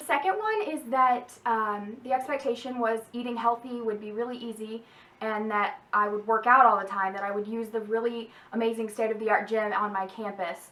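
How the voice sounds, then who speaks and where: Over noticeable background noise, a woman talks fairly quickly in a fairly high voice with fairly even intonation. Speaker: YouTuber and college student. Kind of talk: casual vlog advice. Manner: fast; casual with many fillers.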